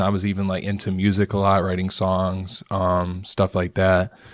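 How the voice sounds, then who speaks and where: A man's very deep, low voice in an American accent, monotone and flat, on a very clean recording with a silent background. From US Midwest, Rockford, Illinois. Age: 20s. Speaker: painter and illustrator. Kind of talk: casual interview. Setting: studio. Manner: casual, laid-back.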